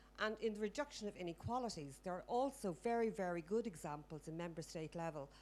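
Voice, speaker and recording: A woman's fairly low voice in an Irish accent, with lively intonation. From Ireland. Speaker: audience member at a health conference. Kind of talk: audience question at a conference. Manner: fast.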